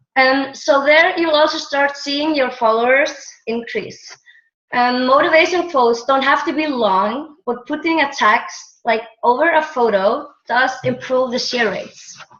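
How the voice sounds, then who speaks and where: With an Icelandic accent, a woman speaks at a high pitch and a fairly slow pace. Her pitch variation is ordinary, and there is audible room echo. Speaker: team member presenter. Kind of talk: online training presentation. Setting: video call. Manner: halting, hesitant.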